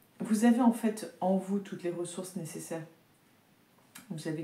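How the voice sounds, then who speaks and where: At a fairly quick pace, a woman talks with a fairly low pitch, a dark, mellow tone and a somewhat breathy sound. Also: long, frequent pauses, big swings in loudness. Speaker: tarot reader and energy healer. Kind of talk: oracle card reading. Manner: hesitant, with fillers.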